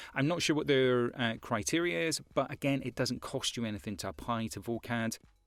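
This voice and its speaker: Over music in the background, a man in a Scottish accent talks at a moderate pace with a medium pitch and lively intonation. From Scotland. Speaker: voice-over artist. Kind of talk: tutorial. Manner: casual, with frequent fillers and repetitions.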